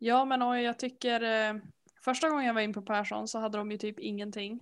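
A woman has a plain, everyday voice and speaks at a fairly quick pace. The recording is very clean, with a silent background. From Sweden, Härnösand (Norrland). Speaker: podcast co-host, knitter. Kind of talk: casual chat.

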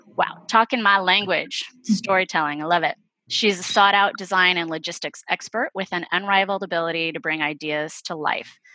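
Against a quiet background, a woman speaks at a moderate pace and medium pitch in a bright, sharp tone with ordinary pitch variation, the sound dry and close with no echo. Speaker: podcast host. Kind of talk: casual panel chat.

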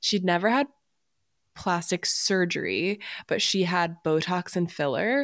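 Here is an unremarkable speaking voice with lively intonation. The recording is very clean, with a silent background. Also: woman, fairly low pitch for a woman, fairly slow pace, very even loudness. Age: 30s. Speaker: podcast co-host. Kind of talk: casual chat.

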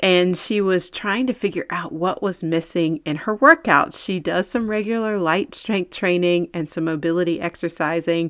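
On a very clean recording with a silent background, a woman uses a normal speaking voice at fairly low pitch, with ordinary pitch variation and a moderate pace. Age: 40s. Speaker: fitness trainer and podcast host. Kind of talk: solo podcast talk. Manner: casual, with fillers.

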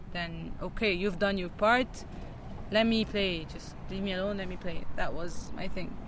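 A woman speaks with an Egyptian accent at a medium pitch. Her pace is fairly slow and her intonation fairly even. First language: Arabic. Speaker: metal band singer and guitarist. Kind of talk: interview. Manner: halting.

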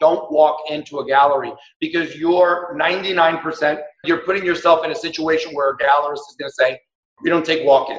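A man with an ordinary speaking voice, fairly high in pitch, fairly even in intonation, at a moderate pace. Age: 60s. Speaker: artist and gallery director. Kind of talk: interview.

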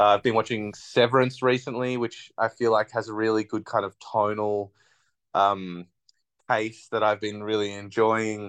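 A man with an Australian accent talks at a fairly low pitch in a monotone, flat way. The sound is dry and close with no echo and a quiet background. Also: moderate pace. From Australia, Bega NSW. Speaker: theatre maker and performer. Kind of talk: casual interview.

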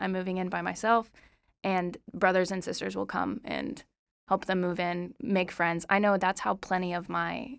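On a very clean recording with a silent background, a woman with an American accent uses a plain, everyday voice at a medium pitch, with ordinary pitch variation and a moderate pace. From Oklahoma. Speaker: college student, flute player. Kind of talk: casual interview.

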